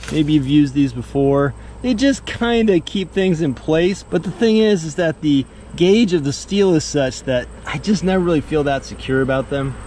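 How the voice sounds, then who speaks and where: With lively intonation and a moderate pace, a man talks in a dry sound with no echo and light background noise. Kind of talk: casual vlog chat. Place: open country. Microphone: phone near.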